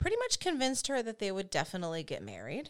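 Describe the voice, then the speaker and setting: A woman with an American accent speaks with vocal fry and very wide pitch swings. The recording is very clean, with a silent background. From United States. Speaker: true crime podcast co-host. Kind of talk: casual storytelling.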